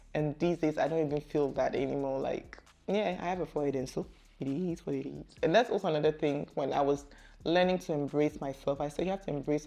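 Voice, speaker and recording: A woman's very deep, low voice, dark and mellow in tone, with fairly even intonation. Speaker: vlogger. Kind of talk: casual chat.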